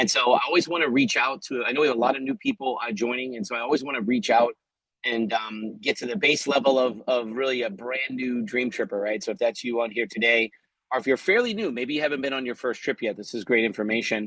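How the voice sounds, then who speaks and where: This man talks very fast, holding a medium pitch and letting it vary in an ordinary way. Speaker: company CEO. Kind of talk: motivational business talk. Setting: video call, outdoors. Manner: loud.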